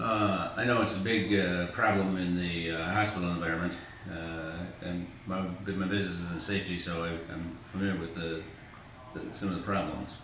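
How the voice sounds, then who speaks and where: Amid noticeable background noise and audible room echo, a man with a very deep, low voice talks at a fairly quick pace in a monotone, flat intonation. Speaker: older adult interviewee in falls assessment. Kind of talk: interview. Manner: halting, many fillers.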